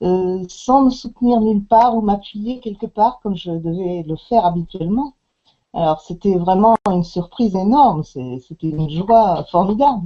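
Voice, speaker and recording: At a fairly slow pace, a woman of medium pitch speaks with lively intonation. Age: 60s. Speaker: customer giving product testimonial. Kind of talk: testimony. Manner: halting, many hesitations.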